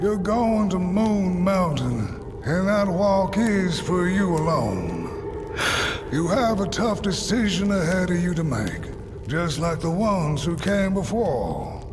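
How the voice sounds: Clear music plays in the background as a man uses a put-on character voice at a high pitch. He speaks at a slow pace with big pitch swings.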